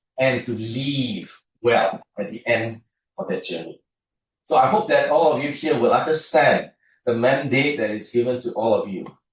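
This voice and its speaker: A man at medium pitch, somewhat breathy, with lively intonation and a moderate pace. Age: 60s. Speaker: university programme co-director. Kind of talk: welcome speech. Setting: auditorium with audience. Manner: hesitant, many fillers.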